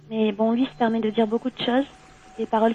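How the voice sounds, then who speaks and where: Noticeable background noise sits behind a woman's fairly high voice. She speaks at a fairly quick pace with fairly even intonation. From southwestern France, Gironde. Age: 20s. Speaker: caller. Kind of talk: phone-in discussion. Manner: halting.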